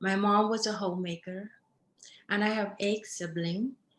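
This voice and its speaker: A woman's somewhat breathy, medium-pitched voice with a Cambodian accent and fairly even intonation. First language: Khmer. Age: 50s. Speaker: dancer. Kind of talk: testimony.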